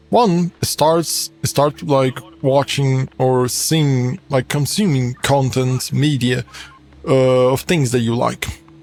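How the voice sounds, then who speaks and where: Music plays behind a man speaking at a very slow pace and medium pitch. His loudness stays very even, with ordinary pitch variation. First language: Portuguese. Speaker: gaming streamer. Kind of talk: casual gameplay commentary. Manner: halting.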